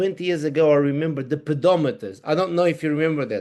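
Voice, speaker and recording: With a Portuguese accent, a man talks at a fairly high pitch with ordinary pitch variation. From Portugal. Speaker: wearable technology consultant. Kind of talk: interview. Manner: halting.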